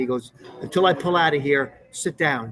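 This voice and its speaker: A man's fairly high-pitched voice with ordinary pitch variation, amid noticeable background noise. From Newburgh, New York (Hudson Valley). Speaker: actor. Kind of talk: casual interview, storytelling. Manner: animated.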